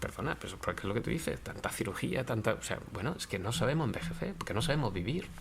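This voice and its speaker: A man at a medium pitch, racing along at a very fast pace with very wide pitch swings. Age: 60s. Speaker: philosophy professor. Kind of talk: interview conversation. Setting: law office.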